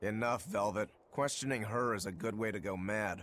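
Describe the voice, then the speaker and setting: This put-on character voice is raspy and moves at a moderate pace. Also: man, fairly low pitch for a man. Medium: video game. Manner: relaxed, wry.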